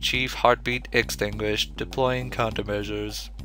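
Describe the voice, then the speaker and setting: A man puts on a character voice at a moderate pace. Music plays clearly in the background. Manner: cold, detached.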